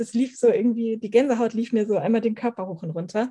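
A woman speaks at a very fast pace, her fairly high voice somewhat breathy. Her tone is dark and mellow. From northern Germany, Schleswig-Holstein. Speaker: animal communicator. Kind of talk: podcast interview.

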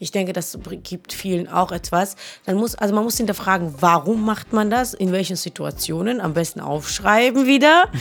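Using an ordinary speaking voice, a woman speaks at medium pitch and a moderate pace with lively intonation. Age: 30s. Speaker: podcast co-host. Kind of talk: casual chat.

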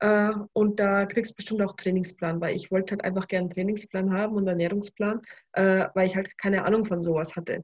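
This woman's voice is somewhat breathy. She talks at a fairly quick pace. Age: 20s. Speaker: bikini fitness athlete. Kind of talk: casual chat.

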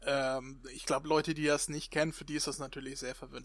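A man talks in a monotone, flat intonation at a fairly high pitch. His tone is bright and sharp. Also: very clean recording, silent background. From northern Germany. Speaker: podcast host. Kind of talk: casual chat.

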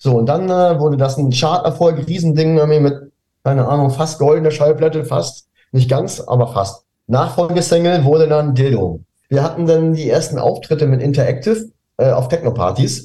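Somewhat breathy and dark, mellow in tone, a man speaks at a fairly high pitch and moderate pace, with ordinary pitch variation and very even loudness. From northern Germany, near Hamburg (Pinneberg district). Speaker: DJ and music producer. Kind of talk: interview. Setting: video call.

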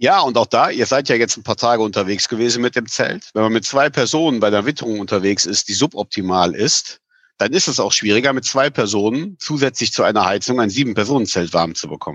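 A man's medium-pitched, ordinary speaking voice, fairly quick and lively in intonation, with hardly any pauses. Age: 40s. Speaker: camping store owner. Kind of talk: casual interview.

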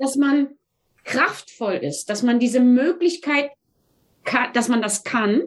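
A woman speaks at a high pitch. Her pace is very slow. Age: 60s. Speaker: math teacher. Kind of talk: interview conversation.

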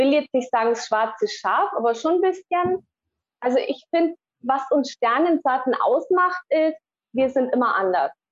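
A woman speaks at a high pitch and a fairly slow pace, with long, frequent pauses. Her intonation is lively while her loudness stays very even. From Allgäu, Bavaria, Germany. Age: 40s. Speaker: spiritual healer. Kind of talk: interview. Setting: remote call from Mexico.

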